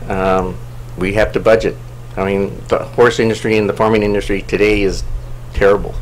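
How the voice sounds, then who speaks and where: With audible room echo and noticeable background noise, a man talks at a fairly low pitch with lively intonation. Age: 50s. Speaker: council seat applicant, planning commissioner. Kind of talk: public meeting interview. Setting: city council meeting. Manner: halting, many fillers.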